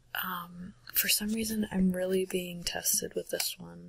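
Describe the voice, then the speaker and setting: A soft-spoken woman is talking. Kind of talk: ASMR soft-spoken bookshelf tour.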